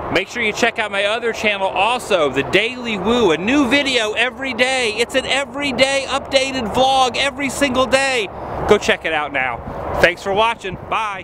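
A man speaks in a raised, projected voice at a moderate pace with ordinary pitch variation. The sound is dry with no echo, though noticeable background noise comes through. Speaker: vlogger. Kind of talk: casual vlog chat. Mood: playful, upbeat. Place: open country. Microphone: phone near.

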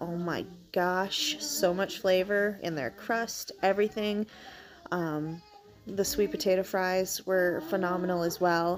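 The woman talks at a fairly slow pace with ordinary pitch variation. Faint music sits in the background. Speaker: travel vlogger. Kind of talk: casual vlog chat. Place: home room. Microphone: phone near.

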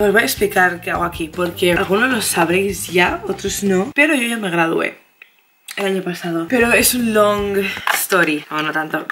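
A woman speaks at a moderate pace with ordinary pitch variation over noticeable background noise. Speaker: vlogger. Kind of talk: casual vlog chat. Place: home room. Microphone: phone near.

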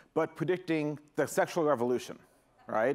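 Ordinary pitch variation from a male speaker. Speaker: keynote speaker. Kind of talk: keynote talk. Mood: joking, playful. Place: stage. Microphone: headset.

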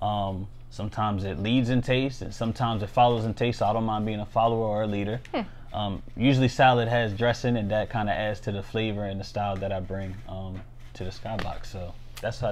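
A man with an American accent, fairly low in pitch, talking at a very fast pace with fairly even intonation. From Maryland, US (St. Mary's County). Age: 20s. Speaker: financial analyst and freestyle rapper. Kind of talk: casual interview. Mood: relaxed, upbeat. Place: home room. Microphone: lapel.

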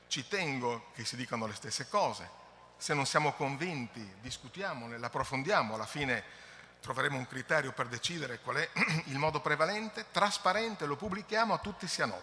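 A man at a fairly quick pace, with very wide pitch swings. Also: fairly high pitch for a man. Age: middle-aged. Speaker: environmental agency technical director; conference presenter. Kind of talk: conference presentation. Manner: halting. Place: hall. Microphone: podium.

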